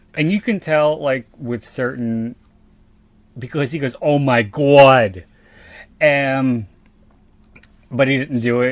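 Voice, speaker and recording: The speaker talks at a fairly slow pace in a South Philadelphia accent. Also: man. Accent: South Philly. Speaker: podcast co-host. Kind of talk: casual chat.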